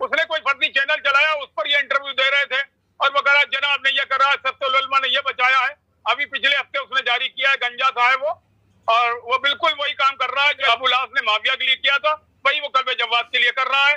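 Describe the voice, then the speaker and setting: A man's extremely high pitch in a monotone, flat intonation at a moderate pace. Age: 70s. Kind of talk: interview.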